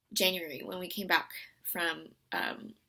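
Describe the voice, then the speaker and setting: A woman's bright, sharp tone on a very clean recording with a silent background. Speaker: medical student vlogger. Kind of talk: casual video diary. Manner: loud.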